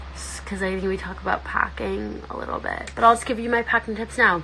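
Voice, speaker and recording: Fairly quick speech from a woman amid noticeable background noise. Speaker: social media influencer. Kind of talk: casual chat. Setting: livestream. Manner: animated.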